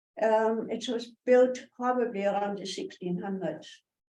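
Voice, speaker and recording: Spoken at a fairly slow pace with ordinary pitch variation, the voice carries audible room echo. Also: woman. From northern Germany. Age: 90s. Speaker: guest speaker. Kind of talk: personal life talk.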